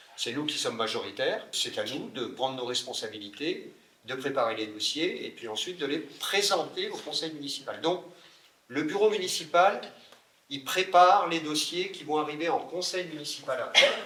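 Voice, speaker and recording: Moderate pace in a space with audible room echo. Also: man. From France, Burgundy (Le Creusot). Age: 60s. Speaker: mayor. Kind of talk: interview Q&A.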